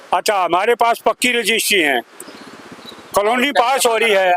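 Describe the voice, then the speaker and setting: A raised, projected voice comes through dry and close with no echo, amid noticeable background noise. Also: man. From Delhi. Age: 70s. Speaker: local resident. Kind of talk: street interview. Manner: halting.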